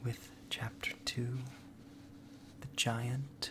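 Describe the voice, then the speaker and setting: A soft-spoken, monotone, flat voice at a very slow pace, with noticeable background noise. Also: man. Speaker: storyteller. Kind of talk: ASMR intro talk to listener.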